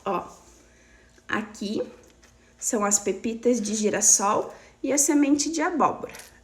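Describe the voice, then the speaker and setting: A woman speaks at a fairly slow pace in a fairly high pitch with lively intonation, taking long, frequent pauses over noticeable background noise. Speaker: weight loss coach. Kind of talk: live stream talk. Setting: live stream.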